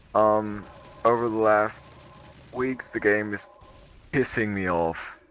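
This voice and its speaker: This man speaks at a very slow pace with a non-native accent. His pitch sits fairly low. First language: not English. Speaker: gaming commentator. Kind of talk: gameplay commentary.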